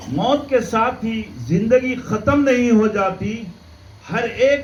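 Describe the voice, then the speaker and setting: A man's voice with ordinary pitch variation carries audible room echo along with noticeable background noise. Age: 70s. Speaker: Islamic preacher. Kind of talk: religious lecture.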